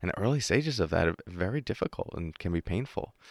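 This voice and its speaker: Lively and fairly quick, a man talks with an American accent. The sound is dry and close, with no echo. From New York. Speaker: mindfulness meditation teacher. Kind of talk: interview. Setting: studio.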